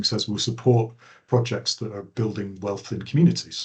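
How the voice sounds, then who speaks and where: The voice belongs to a man and is somewhat breathy. His intonation stays fairly even. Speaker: planning trainer. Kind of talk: online training lecture. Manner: fast.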